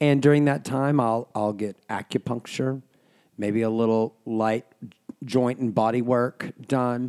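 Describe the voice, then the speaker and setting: A man with an ordinary speaking voice talks at a fairly slow pace and a medium pitch. His intonation is fairly even, and the sound is dry and close with no echo. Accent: American. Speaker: guest, performer and HIV-positive client. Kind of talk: casual chat.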